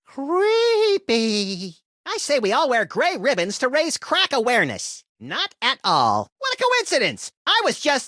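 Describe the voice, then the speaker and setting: A cartoonish character voice, high-pitched, at a fairly slow pace. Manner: wisecracking, gleefully destructive.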